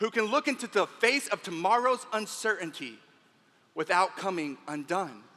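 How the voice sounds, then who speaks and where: In an American accent, a man with a high pitch uses a raised, projected voice and an animated, bright, sharp tone, with lively intonation at a moderate pace. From Texas. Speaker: motivational speaker. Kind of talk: keynote speech.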